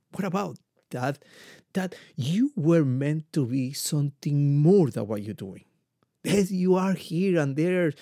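In a Spanish accent, a man speaks fairly slowly with lively intonation and a dark, mellow tone, the sound dry and close with no echo. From Ecuador. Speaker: podcast host, motivational speaker. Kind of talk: motivational monologue.

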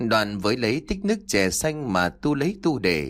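Someone reads in a natural voice.

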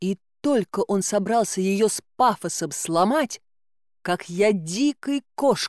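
Intonation is lively in this natural reading voice. Behind it, things are quiet.

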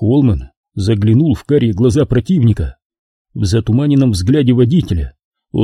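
With lively intonation and a quiet background, the text is read aloud in a natural voice.

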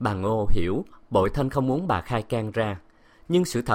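The delivery comes in a natural reading voice.

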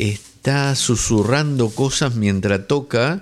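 At a slow pace, a man speaks with a medium pitch and ordinary pitch variation.

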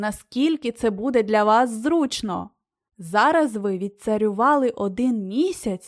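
Plain reading aloud, quiet background behind it

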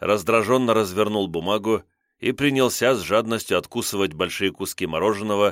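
The text is read aloud plainly. The background is quiet.

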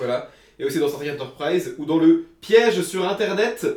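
Here a man talks at a fairly high pitch with lively intonation. His tone is slightly mellow. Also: moderate pace.

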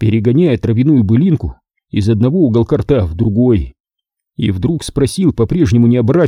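Over a quiet background, this is a natural reading voice with lively intonation.

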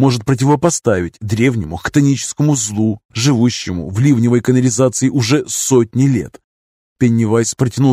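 With quiet surroundings, a natural reading voice is heard.

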